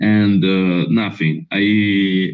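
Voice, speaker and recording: The speaker is a man. He has an Italian accent. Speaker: filmmaker. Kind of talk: interview. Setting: video call. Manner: halting.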